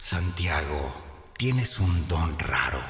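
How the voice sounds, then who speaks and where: A put-on character voice, resonant and menacing, speaks at a very slow pace with a slight echo. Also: man, very deep, low pitch for a man. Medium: read story. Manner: menacing, seductive.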